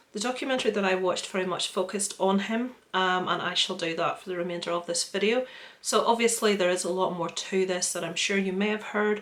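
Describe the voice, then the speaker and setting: Her pace is very fast and her pitch sits in the medium range for a woman. The intonation stays fairly even. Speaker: true crime YouTuber. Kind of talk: true crime narration to camera. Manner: casual, chatty.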